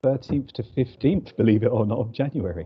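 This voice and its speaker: This speaker has a London accent and ordinary pitch variation. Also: man. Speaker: business representative. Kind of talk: business networking on video call.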